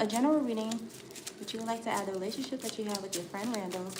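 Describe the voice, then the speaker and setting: A woman's voice with ordinary pitch variation, noticeable background noise and audible room echo. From US. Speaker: tarot reader. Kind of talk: live-stream tarot reading.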